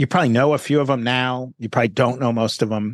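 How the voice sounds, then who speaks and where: The speaker talks very fast with a New York accent and fairly even intonation. The sound is dry and close with no echo, over a quiet background. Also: man. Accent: New York American. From New York City. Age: 50s. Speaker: journalist and author. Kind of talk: interview, casual conversation. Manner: conversational, reflective, laughs often.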